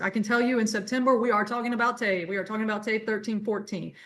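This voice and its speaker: This woman's voice sits at a fairly high pitch. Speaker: adult education coordinator. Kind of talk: webinar presentation. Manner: fast.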